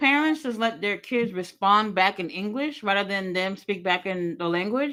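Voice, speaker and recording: Speaking with a Haitian accent at a medium pitch, a woman sounds bright, sharp and animated, with lively intonation, on a very clean recording with a silent background. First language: Haitian Creole. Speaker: wrestling streamer. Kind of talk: casual chat.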